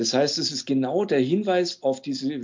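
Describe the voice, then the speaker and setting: A man of medium pitch with lively intonation at a fairly slow pace. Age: 60s. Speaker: music teacher, former sect member. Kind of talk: interview testimony. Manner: hesitant, frequent fillers.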